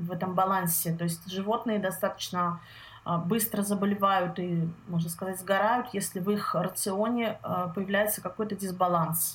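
This woman's voice is somewhat breathy. Her intonation stays fairly even. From Russia, Saint Petersburg. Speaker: health consultant. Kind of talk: interview. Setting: call.

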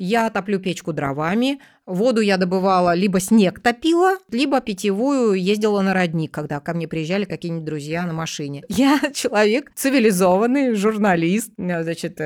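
A woman with a plain, everyday voice, at a moderate pace and with lively intonation. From Russia, Tomsk. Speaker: journalist. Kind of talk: interview.

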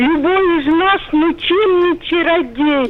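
An extremely high-pitched woman's voice at a very slow pace, with ordinary pitch variation and noticeable background noise. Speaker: radio caller. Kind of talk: phone-in reminiscence. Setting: phone call.

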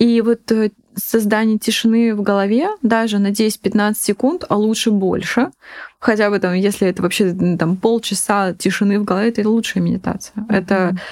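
With a normal speaking voice, a woman talks at a medium pitch and moderate pace, keeping fairly even intonation and very even loudness. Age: 20s. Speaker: food startup co-founder. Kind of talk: casual chat.

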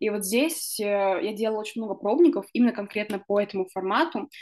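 A woman's fairly high voice with lively intonation, a normal speaking voice. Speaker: podcast host. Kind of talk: casual chat.

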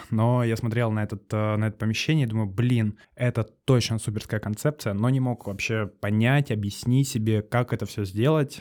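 With a normal speaking voice and fairly even intonation, a man speaks at a medium pitch and a moderate pace. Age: 20s. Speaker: cafe owner. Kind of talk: casual interview.

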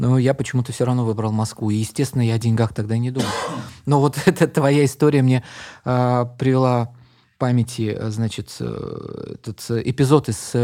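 With long, frequent pauses, a man speaks fairly slowly in a dark, mellow tone at medium pitch and fairly even intonation. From Uzbekistan, Tashkent. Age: 50s. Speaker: poet and translator. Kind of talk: casual interview chat.

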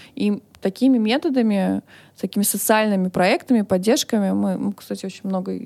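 At a fairly quick pace, a woman speaks in a dark, mellow tone on a very clean recording with a silent background and a dry, close sound with no echo. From Russia, Moscow. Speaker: business founder and director. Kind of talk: interview.

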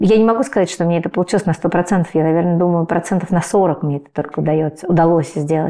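At a very fast pace, a woman talks in a fairly low pitch. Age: 40s. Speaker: writer and parenting blogger. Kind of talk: interview conversation.

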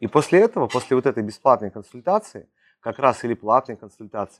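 A man with an ordinary speaking voice talks at a medium pitch and a moderate pace. The sound is dry and close with no echo, over a quiet background. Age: 30s. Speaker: sales coach. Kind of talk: monologue podcast on sales. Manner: casual, filler-heavy.

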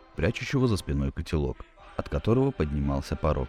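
With music in the background, a man's voice makes very wide pitch swings. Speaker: audiobook narrator. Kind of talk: literary audiobook reading of a wartime short story, scripted narration. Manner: measured, even narrator's pace, formal literary diction.

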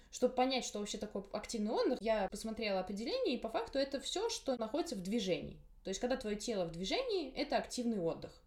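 Over noticeable background noise, a woman talks at a very fast pace in a fairly high pitch with lively intonation. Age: 20s. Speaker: podcast host, university student. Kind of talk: casual interview chat.

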